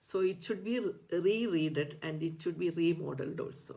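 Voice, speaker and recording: A woman with a Keralan accent speaks at a fairly slow pace in a very deep, low voice with vocal fry. Her pitch varies in an ordinary way. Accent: Indian English, Malayali. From India, Kerala. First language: Malayalam. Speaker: ayurveda doctor and teacher. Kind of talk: educational talk. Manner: halting, many fillers.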